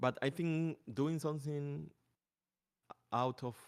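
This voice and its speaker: A man with a fairly high pitch and ordinary pitch variation is heard in a dry, close sound with no echo. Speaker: character artist. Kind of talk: casual chat.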